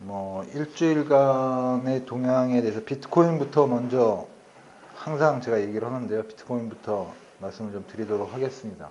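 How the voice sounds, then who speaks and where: At medium pitch and a moderate pace, a man's loudness swings a lot while his pitch varies in an ordinary way. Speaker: company CEO presenting at a meetup. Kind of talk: presentation. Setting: meeting room with audience. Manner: trying to speak louder.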